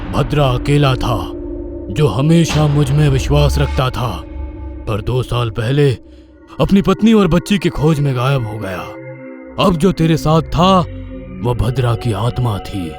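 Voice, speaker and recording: In a put-on character voice, a man speaks at a moderate pace and a medium pitch, with very wide pitch swings. Long, frequent pauses break his lines while clear music plays in the background. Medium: read story. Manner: grave, fatherly.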